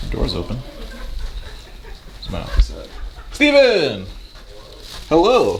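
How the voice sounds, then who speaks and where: A man is talking amid noticeable background noise. Audible room echo is also present. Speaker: vlogger and campus event planner. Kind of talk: casual vlog. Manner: fast; animated.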